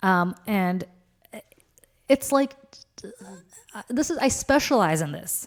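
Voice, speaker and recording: Pausing long and often, a woman speaks at a very slow pace with very wide pitch swings. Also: medium pitch for a woman. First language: Russian. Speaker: political commentator, podcast co-host. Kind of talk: casual chat. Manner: animated.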